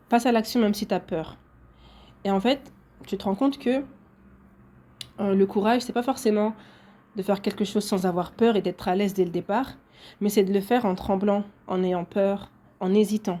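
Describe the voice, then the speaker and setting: With a dark, mellow tone and medium pitch, a woman speaks at a moderate pace in fairly even intonation. Her delivery has long, frequent pauses. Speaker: podcaster. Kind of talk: solo podcast monologue.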